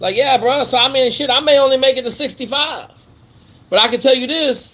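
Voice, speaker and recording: A man with an American accent projects a raised voice at an extremely high pitch, his tone bright and sharp, at a moderate pace. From Washington state, near Fort Lewis. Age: 50s. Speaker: former special operations pilot, military mentor. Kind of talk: live Q&A stream. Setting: video call livestream; outdoors at the beach. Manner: animated, profane and casual.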